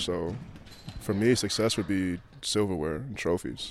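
A man with a Chicago accent and a fairly low pitch speaks at a fairly slow pace. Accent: American, Chicago. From US, Chicago. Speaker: professional basketball player. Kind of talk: interview.

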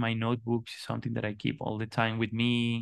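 A man talks at a fairly quick pace in a Spanish accent. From Colombia. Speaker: artist and design educator. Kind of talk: interview conversation. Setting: remote call. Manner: halting, many repetitions and fillers.

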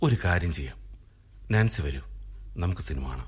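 Someone performs a put-on character voice with a husky, rough edge, lively intonation and a moderate pace. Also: man, low pitch for a man.

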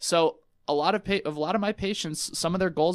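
A man speaks at a very fast pace with fairly even intonation, on a very clean recording with a silent background. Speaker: physical therapist. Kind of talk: casual interview chat. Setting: radio studio. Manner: loud talker.

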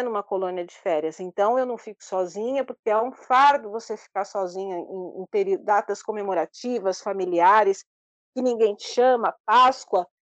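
In a normal speaking voice, a woman talks at a moderate pace and medium pitch with ordinary pitch variation, the sound dry and close with no echo. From Brazil, São Paulo. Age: 50s. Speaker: traveler with low vision. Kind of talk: interview.

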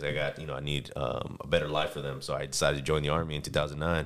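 A man talks at a very fast pace in an American accent. Vocal fry runs through his speech. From San Diego, California. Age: 30s. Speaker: soldier. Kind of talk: casual chat.

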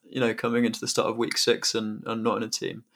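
The speaker is a man with a medium-pitched voice. The recording is very clean, with a silent background. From Hong Kong, then southern England (Basingstoke) from 13. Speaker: crypto entrepreneur. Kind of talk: casual interview. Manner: hesitant, many fillers.

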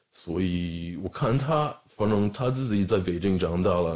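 In a very clean recording with a silent background, a man with an American accent speaks at a moderate pace. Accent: American-accented Mandarin. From US, Los Angeles area (Southern California). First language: English (speaking Chinese). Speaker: rapper and skateboard brand co-founder. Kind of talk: casual chat.

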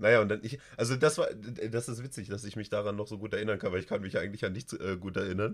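Very fast, hardly any pauses, from a man with a fairly low pitch, on a very clean recording with a silent background. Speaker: streamer and podcast host. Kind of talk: casual chat. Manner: animated.

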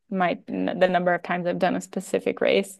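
A woman speaks in an ordinary speaking voice with an American accent. Her pitch sits in the medium range. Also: quiet background. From United States. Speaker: professional trail runner. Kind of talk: interview conversation.

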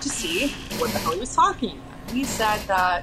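Over background music, a woman with a medium pitch speaks, with audible room echo. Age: 30s. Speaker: spiritual artist and astral traveler. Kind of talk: casual chat.

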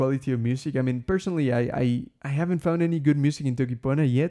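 A man with a Spanish accent talks very fast in a dark, mellow tone at medium pitch with ordinary pitch variation, in a very clean recording with a silent background. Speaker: language podcast host. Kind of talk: solo podcast monologue. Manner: casual, many filler words.

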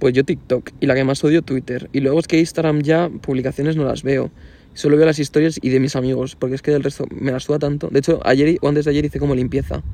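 Speaking very fast, a man delivers his words in a fairly high pitch with a dark, mellow tone and flat, monotone intonation. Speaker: podcast co-host. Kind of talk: casual chat.

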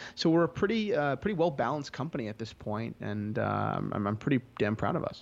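With an American accent and a medium pitch, a man talks at a fairly quick pace with very wide pitch swings and hardly any pauses against a quiet background. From US Northeast, New Jersey. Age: 20s. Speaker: entrepreneur, watch dealer. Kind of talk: interview. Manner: halting, many repetitions and fillers.

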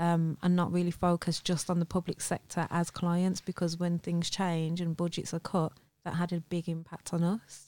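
In a Birmingham accent, a woman speaks with a dark, mellow tone at a fairly low pitch, her intonation monotone and flat and her loudness very even, the sound dry and close with no echo on a very clean recording with a silent background. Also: moderate pace, hardly any pauses. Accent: Birmingham, England. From Birmingham, England. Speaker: entrepreneur, former estate agent owner. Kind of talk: casual interview chat.

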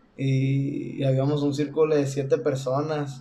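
A man's fairly high voice stays monotone and flat, with noticeable background noise and audible room echo around it. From Mexico, Sonora. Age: 20s. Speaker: singer. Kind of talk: casual chat.

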